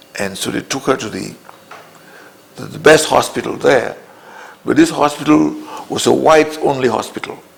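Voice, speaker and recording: Over noticeable background noise, a man talks at a moderate pace with long, frequent pauses and big swings in loudness. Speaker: interviewee on political history. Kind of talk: interview testimony.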